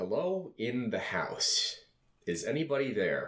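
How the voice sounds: This male speaker adopts a put-on character voice. His delivery moves at a fairly slow pace.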